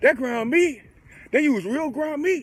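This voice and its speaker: An animated man's voice with very wide pitch swings at a fairly slow pace, amid noticeable background noise. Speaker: sports reaction vlogger. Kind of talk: casual chat.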